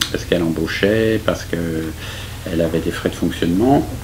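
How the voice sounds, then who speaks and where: This man talks at a moderate pace with a very deep, low pitch. Room echo is audible, and background noise is noticeable. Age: 70s. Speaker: architect. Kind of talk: interview. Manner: hesitant, many fillers.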